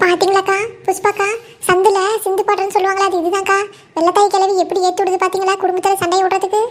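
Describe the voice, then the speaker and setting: A woman does a cartoonish character voice at an extremely high pitch, at a moderate pace with very even loudness and flat, monotone intonation. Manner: fast, eager, excited.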